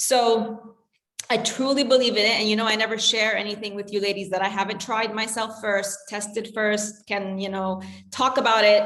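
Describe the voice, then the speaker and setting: A woman with a fairly high voice speaks at a moderate pace in a flat monotone, with audible echo in the room. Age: 40s. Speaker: health coach. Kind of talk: casual chat.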